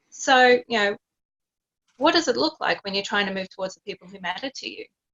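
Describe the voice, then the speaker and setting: Speaking with an Australian accent, a woman moves at a fairly quick pace with lively intonation. Her loudness swings a lot, and she takes long, frequent pauses. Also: fairly high pitch for a woman. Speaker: psychologist coach. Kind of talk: podcast interview.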